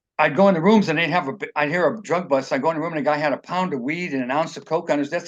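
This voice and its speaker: A man with an American accent, fairly high in pitch, ordinary pitch variation, very fast pace. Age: 60s. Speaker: author and former drug addict telling his life story. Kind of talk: interview, personal testimony. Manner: halting, many repeated words and false starts.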